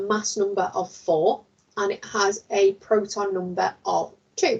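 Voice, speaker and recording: A woman with a British accent. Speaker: science teacher. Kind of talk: lecture.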